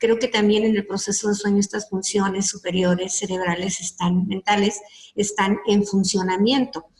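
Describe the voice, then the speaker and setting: A woman with a medium pitch speaks at a moderate pace in a monotone, flat intonation, her loudness very even. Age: 60s. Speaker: psychologist. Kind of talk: lecture. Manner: halting.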